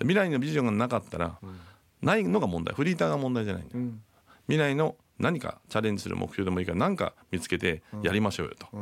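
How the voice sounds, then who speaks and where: A man speaking at a very fast pace, with very wide pitch swings, on a very clean recording against a silent background. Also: medium pitch for a man. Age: 60s. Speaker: entrepreneur co-host. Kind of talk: radio show chat.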